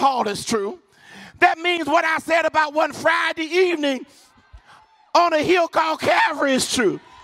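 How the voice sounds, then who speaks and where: A man's extremely high-pitched, animated voice at a moderate pace, with ordinary pitch variation and noticeable background noise. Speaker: preacher. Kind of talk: sermon. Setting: church with live congregation. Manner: call-and-response, urgent and fervent, pushing the crowd to shout back.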